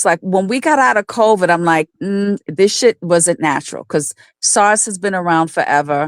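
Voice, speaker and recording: The tone is animated, with lively intonation at a moderate pace. The recording is very clean and dry, close with no echo and a silent background. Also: woman. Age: 60s. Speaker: caller. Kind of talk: casual chat.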